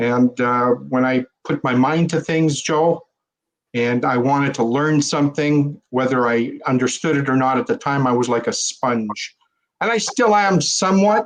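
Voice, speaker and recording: A man speaks with a Canadian accent. His pace is moderate and his pitch medium. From Central Canada. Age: 60s. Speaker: fraud investigator. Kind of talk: podcast interview. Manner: halting, many fillers.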